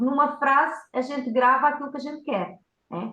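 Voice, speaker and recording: A woman's voice carries audible room echo. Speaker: communication coach. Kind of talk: workshop talk. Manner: fast.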